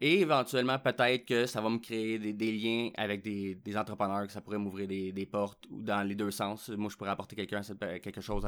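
In a Quebec accent, the speaker moves at a fairly quick pace on a very clean recording with a silent background. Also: man. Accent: Québécois French. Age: 30s. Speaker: podcast host. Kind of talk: casual solo monologue. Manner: hesitant, with fillers and repetitions.

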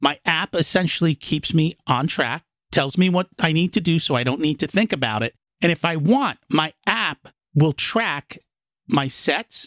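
This man has an ordinary speaking voice, fairly high in pitch, with lively intonation. His loudness stays very even, and the sound is dry and close with no echo. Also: fairly slow pace. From United States, raised from age two. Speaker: real estate investor and business finance coach. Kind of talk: interview.

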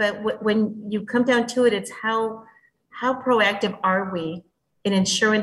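A woman with a Spanish accent talks fairly slowly at a medium pitch, her voice somewhat breathy. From Mexico. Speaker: bilingual education administrator. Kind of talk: interview.

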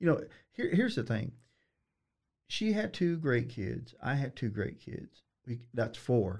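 A man's somewhat breathy, medium-pitched voice with lively intonation, at a fairly slow pace broken by long, frequent pauses. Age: 50s. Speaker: attorney. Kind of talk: casual interview.

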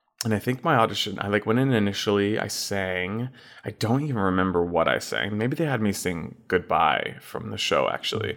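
A man speaks fairly quickly with an American accent, his pitch fairly low with ordinary variation. It is a plain, everyday voice. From Texas, Fort Worth. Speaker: Broadway actor. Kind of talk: casual interview.

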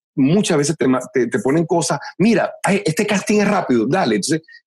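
A man's animated voice at fairly high pitch, with vocal fry, very wide pitch swings and a fairly quick pace, in a dry, close sound with no echo. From Venezuela. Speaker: voice actor. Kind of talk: interview.

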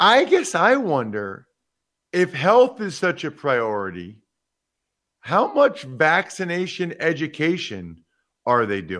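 Against a quiet background, a man with a high pitch talks at a very slow pace, with very wide pitch swings and long, frequent pauses. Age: 40s. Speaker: podcast host and former football player. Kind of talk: casual sports talk.

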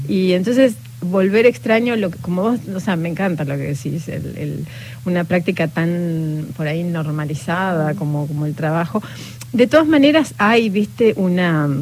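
A woman with a fairly low pitch and lively intonation at a moderate pace, with noticeable background noise. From Patagonia, Argentina. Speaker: novelist. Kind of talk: interview. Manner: halting.

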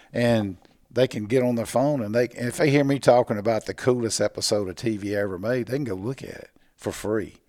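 A man with a Mississippi accent speaks fairly quickly at a medium pitch. His tone is dark and mellow, with ordinary pitch variation. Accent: Mississippi Southern US. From US South, Mississippi (Natchez). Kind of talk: casual interview. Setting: convention show floor.

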